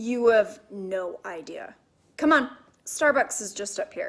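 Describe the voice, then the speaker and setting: Raspy and fairly high-pitched, a woman puts on a character voice at a fairly slow pace with big swings in loudness. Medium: read story.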